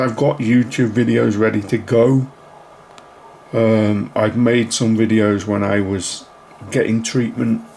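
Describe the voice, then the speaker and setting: Very slowly, a man speaks at a medium pitch with ordinary pitch variation. Noticeable noise sits in the background. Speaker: YouTuber. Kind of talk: casual channel update vlog. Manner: hesitant, many ums.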